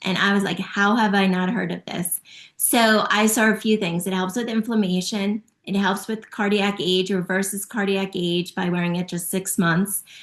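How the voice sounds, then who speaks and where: A woman's normal speaking voice at medium pitch, moderate pace and fairly even intonation, with hardly any pauses. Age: 50s. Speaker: natural health product promoter. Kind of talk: testimony.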